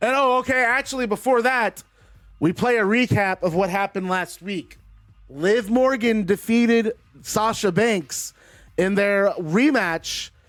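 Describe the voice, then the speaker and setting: A man's high-pitched, animated voice at a fairly slow pace, with music in the background. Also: ordinary pitch variation. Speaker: wrestling video game commentator. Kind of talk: live commentary of video game wrestling. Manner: animated play-by-play.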